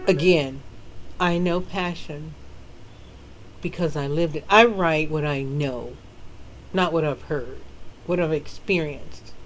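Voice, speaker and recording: At a fairly slow pace with long, frequent pauses, a woman with an American accent speaks in a very deep, low pitch with ordinary pitch variation and audible room echo. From US South. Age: 50s. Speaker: author. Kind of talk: casual chat. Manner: animated.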